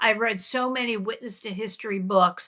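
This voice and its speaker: A woman's raised, projected voice at a moderate pace, with ordinary pitch variation. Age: 60s. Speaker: journalist. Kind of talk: podcast interview. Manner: halting.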